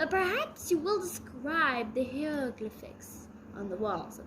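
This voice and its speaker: A put-on character voice unfolds at a fairly slow pace while clear background noise sits behind it. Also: woman, high pitch for a woman. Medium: read story. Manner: slow, solemn, formal.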